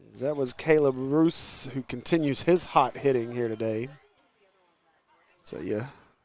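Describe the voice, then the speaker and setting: Loud and with an American accent, a man speaks at a moderate pace, with ordinary pitch variation and long, frequent pauses. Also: medium pitch for a man. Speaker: sports commentator. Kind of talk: live commentary.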